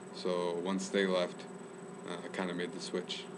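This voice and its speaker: A man speaks with an American accent. Noticeable background noise and audible room echo surround his voice. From US, Chicago then Northern California. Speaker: student. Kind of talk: casual interview.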